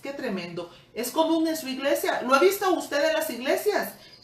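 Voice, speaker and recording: A woman talks over noticeable background noise, with audible echo from the room. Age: 60s. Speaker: Bible teacher. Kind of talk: sermon.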